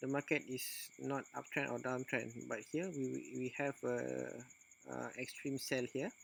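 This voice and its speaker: A man speaking with a non-native accent keeps to a fairly slow pace. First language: non-native English speaker. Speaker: forex trader. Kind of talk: screen-recorded trading tutorial. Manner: hesitant, many filler sounds.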